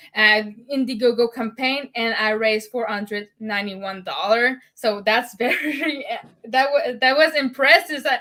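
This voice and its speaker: A high-pitched woman speaks at a moderate pace with ordinary pitch variation. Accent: French. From Quebec, Montreal. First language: French. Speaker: podcast host, ADHD advocate. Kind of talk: casual interview.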